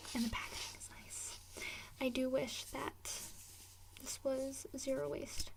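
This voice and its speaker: Against noticeable background noise, a soft-spoken woman speaks at a very slow pace in a relaxed tone, with a high pitch and ordinary pitch variation. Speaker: ASMR creator. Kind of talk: ASMR rambling and product tapping. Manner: soft-spoken, relaxed, casual.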